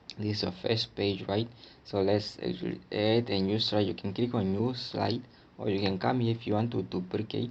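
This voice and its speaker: A man speaks with vocal fry at a fairly low pitch, his intonation fairly even. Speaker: tech tutorial presenter. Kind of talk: tutorial. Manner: casual, filler-heavy.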